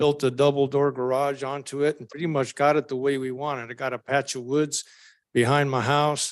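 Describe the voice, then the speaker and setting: Over a quiet background, a man with a fairly high pitch speaks at a moderate pace. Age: 70s. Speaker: resident speaking at public hearing. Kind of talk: public comment at council meeting. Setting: public government meeting.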